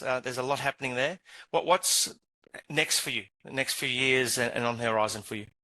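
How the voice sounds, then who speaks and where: A man with a South African accent speaks at a fairly quick pace and medium pitch in a bright, sharp tone. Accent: South African twang. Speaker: regional manager, interviewer. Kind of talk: interview. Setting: live online stream.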